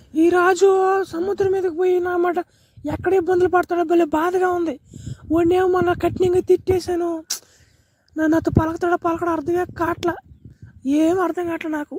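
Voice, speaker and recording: This cartoonish character voice sits at an extremely high pitch, moving at a moderate pace with monotone, flat intonation. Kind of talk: comic spoof dubbing. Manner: rustic coastal village speech.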